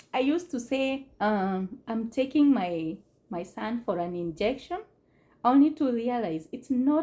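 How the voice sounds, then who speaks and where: A woman with a non-native accent speaks very slowly in a high pitch with a dark, mellow tone. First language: not English. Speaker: immigrant mother on family channel. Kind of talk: casual talk to camera. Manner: hesitant, with fillers.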